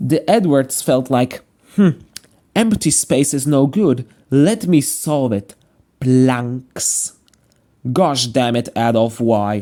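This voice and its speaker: Here a man with a medium pitch and a dark, mellow tone speaks at a very slow pace with lively intonation. Long, frequent pauses break up his speech. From Slovakia. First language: Slovak. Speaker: YouTuber, train series commentator. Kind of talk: video commentary. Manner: casual, jokey.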